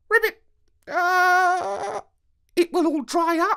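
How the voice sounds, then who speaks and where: A croaky, put-on character voice at an extremely high pitch. It moves at a very slow pace. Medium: read story. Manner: croaks "ribbit" before speaking.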